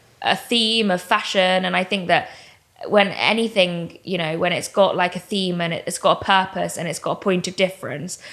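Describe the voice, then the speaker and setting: The speaker has an English accent. The intonation stays fairly even. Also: woman, medium pitch for a woman, moderate pace. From England. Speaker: comedian and interviewer. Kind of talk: podcast interview answer. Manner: dry, deadpan.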